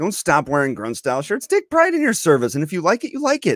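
Against a quiet background, a man's voice swings very widely in pitch, recorded dry with no echo. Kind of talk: casual commentary to camera. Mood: reassuring, lightly exasperated. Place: home room. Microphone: studio mic.

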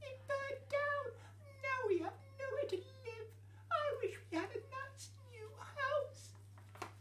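A put-on character voice speaks at a very slow pace. Clear background noise is heard behind it.

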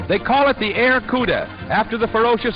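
The speech moves at a fairly quick pace. Music is clearly heard in the background. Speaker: newsreel narrator. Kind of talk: newsreel narration. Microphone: old recording.

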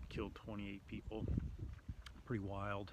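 Bright and sharp in tone with vocal fry, a man talks at a fairly low pitch in a dry recording with no echo and noticeable background noise. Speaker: travel vlogger. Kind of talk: casual vlog chat. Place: street. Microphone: phone near.

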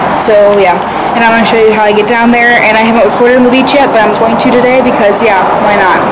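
Heavy background noise runs through the clip. Over it, a woman talks. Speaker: vlogger. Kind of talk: casual vlog chat. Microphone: phone near.

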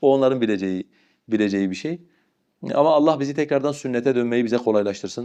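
A man speaks at a very fast pace in a medium pitch, his dark, mellow tone showing ordinary pitch variation over a quiet background. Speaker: Islamic scholar giving religious advice. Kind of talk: religious advice answering a question.

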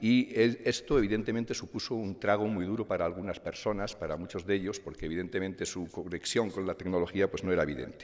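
A man speaks with ordinary pitch variation. He has a normal speaking voice. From Spain, León province. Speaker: company president. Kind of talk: award acceptance speech. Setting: stage with audience.

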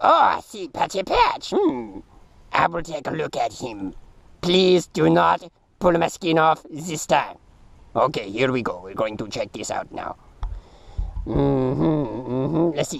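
In a cartoonish character voice, a man speaks fairly slowly at a fairly high pitch, leaving long, frequent pauses. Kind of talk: comic puppet voice, put-on foreign doctor. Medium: puppet show. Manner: formal, earnest, avoids contractions. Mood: calm clinical examination.

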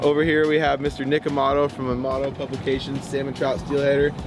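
At a fairly quick pace, a man talks in a flat monotone, the sound dry with no echo but with noticeable background noise. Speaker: fishing guide, show host. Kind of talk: casual vlog intro. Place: boat.

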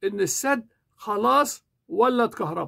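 In an Egyptian accent, a man talks in an animated way with an extremely high pitch and a bright, sharp tone against a quiet background. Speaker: YouTuber and English teacher; political commentator. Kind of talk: political commentary monologue. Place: home room. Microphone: lapel.

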